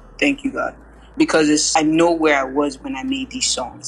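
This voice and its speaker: Noticeable background noise fills the recording. A woman speaks through it at a moderate pace. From US and Lagos, Nigeria. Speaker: singer and rapper. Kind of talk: interview. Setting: remote interview.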